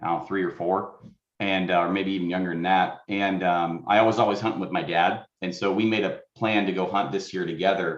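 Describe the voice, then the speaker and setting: A man with an American accent speaks at a fairly quick pace in a very deep, low pitch. His intonation is monotone and flat, and audible room echo surrounds him. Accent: Wisconsin-like. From Oregon. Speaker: hunter, award finalist. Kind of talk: interview.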